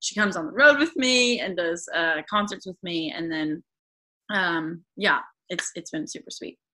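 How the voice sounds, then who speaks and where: A woman with an American accent speaks at a moderate pace in a bright, sharp tone. Her pitch swings very widely. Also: medium pitch for a woman, big swings in loudness. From US Pacific Northwest, rural northwestern Washington. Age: 20s. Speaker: singer-songwriter. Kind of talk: casual interview. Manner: halting, many fillers.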